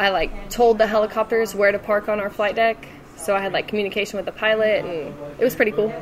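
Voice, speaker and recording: Very fast speech from a woman in an American accent, fairly high in pitch with fairly even intonation, over noticeable background noise. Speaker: Navy veteran and university student. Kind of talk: casual interview. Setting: over lunch.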